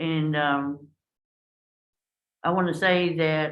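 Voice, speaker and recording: This woman speaks with a very deep, low pitch. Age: 70s. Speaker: mental health clubhouse member sharing her story. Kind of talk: testimony. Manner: halting.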